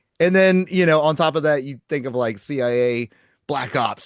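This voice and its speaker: A man with a slight Southern US accent talks with lively intonation at a fairly high pitch. The sound is dry and close with no echo, over a quiet background. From Oklahoma. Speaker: podcast host. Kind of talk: casual podcast conversation.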